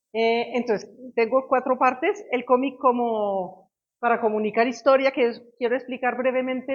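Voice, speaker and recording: A woman speaks at a fairly high pitch. Her intonation is fairly even and her pace moderate. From Belgium. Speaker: history professor. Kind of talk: lecture. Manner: halting.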